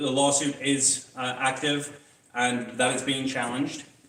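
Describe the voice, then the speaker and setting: A man with a British accent is heard with audible room echo and noticeable background noise. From Britain. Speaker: political candidate. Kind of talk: campaign speech.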